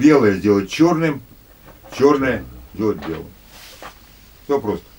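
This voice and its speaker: A man speaks at a fairly low pitch with very wide swings in his pitch. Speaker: lecturer on conspiracy theories. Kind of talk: lecture. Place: home room. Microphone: camera far.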